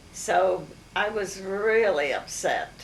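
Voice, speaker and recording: A woman speaks at a medium pitch, with audible room echo and noticeable background noise. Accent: American. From Maryland, US. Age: 80s+. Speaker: family elder recounting memories. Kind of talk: oral history interview. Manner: halting, many fillers.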